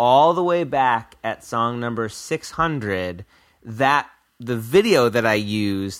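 Recorded very cleanly over a silent background, a man has an ordinary speaking voice at a medium pitch with ordinary pitch variation. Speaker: musician who made the show's theme song. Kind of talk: casual chat.

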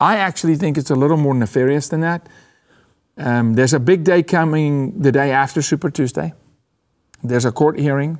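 A man with a non-native accent, fairly high pitch and ordinary pitch variation, at a fairly quick pace with long, frequent pauses, on a very clean recording with a silent background. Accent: foreign. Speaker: political commentator and podcast host. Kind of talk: political commentary chat. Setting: studio. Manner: animated.

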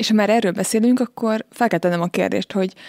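A woman's dark, mellow tone at a very fast pace with fairly even intonation, dry and close with no echo, in a very clean recording against a silent background. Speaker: podcast host. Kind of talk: interview. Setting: studio.

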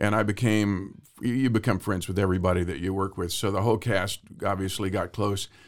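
An ordinary speaking voice at a moderate pace, with an American accent. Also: man. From Central Texas. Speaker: actor and singer-songwriter. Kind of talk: interview.

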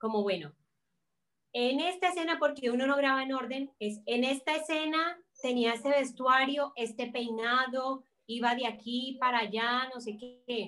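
Bright and sharp in tone, a woman with a Cali accent speaks at a fairly slow pace and a high pitch, with ordinary pitch variation. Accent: Caleño Colombian Spanish. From Colombia, Cali. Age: 20s. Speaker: actress and fashion designer. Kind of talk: casual chat. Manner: animated.

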